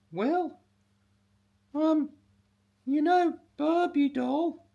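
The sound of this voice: An extremely high-pitched put-on character voice from a man.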